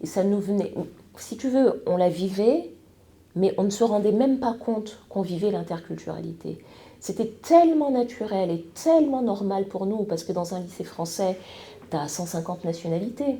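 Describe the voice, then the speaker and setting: Lively in her intonation, a woman with a medium pitch and a dark, mellow, somewhat breathy tone speaks amid audible room echo. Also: moderate pace. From France and Congo-Brazzaville. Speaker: TV news presenter. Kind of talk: podcast interview. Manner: hesitant, many fillers.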